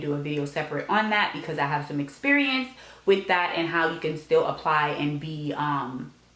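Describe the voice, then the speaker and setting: Noticeable background noise sits behind a woman with a very deep, low voice. She speaks fairly quickly with ordinary pitch variation. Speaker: law school applicant and vlogger. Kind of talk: advice vlog. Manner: frequent filler ums.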